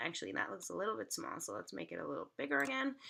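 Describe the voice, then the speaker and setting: Bright and sharp in tone, a woman's voice shows vocal fry in a very clean recording with a silent background. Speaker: tutorial creator. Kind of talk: tutorial. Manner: casual, conversational.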